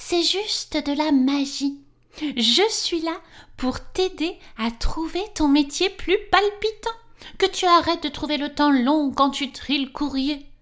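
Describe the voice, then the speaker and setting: A woman's put-on character voice, high in pitch, at a fairly slow pace. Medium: read story.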